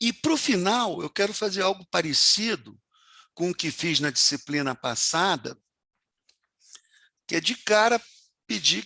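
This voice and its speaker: In a dry, close recording with no echo and a quiet background, a man with a high pitch and a bright, sharp tone talks fairly slowly, his voice making very wide pitch swings. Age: 70s. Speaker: university professor. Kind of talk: lecture.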